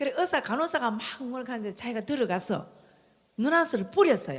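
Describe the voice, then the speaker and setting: A high-pitched woman at a fairly quick pace, her pitch swinging very widely. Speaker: church member giving testimony. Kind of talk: testimony.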